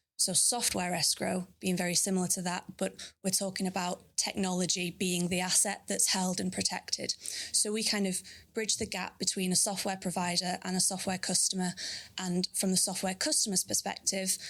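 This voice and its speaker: A woman in a Manchester accent, medium pitch and moderate pace, monotone, flat intonation, vocal fry and very even loudness, in a very clean recording with a silent background. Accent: northern English (Manchester). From northern England, Bolton near Manchester. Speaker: sales manager. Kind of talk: interview. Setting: live recording at a consulate.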